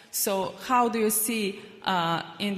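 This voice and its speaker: The speaker has a Serbian accent. The recording carries audible room echo and noticeable background noise. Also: woman. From Republic of Srpska, Bosnia and Herzegovina. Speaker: panel moderator, investment professional. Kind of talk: panel discussion. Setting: stage with audience. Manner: halting, many fillers.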